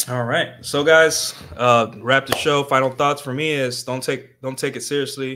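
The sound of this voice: A man speaks at medium pitch and a moderate pace, his tone bright and sharp, his intonation fairly even.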